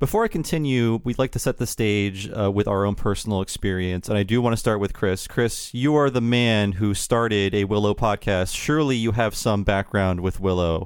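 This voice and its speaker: An unremarkable speaking voice from a man, fairly low-pitched, with ordinary pitch variation, very even loudness and hardly any pauses. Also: moderate pace. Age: 40s. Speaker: podcast host. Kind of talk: casual chat.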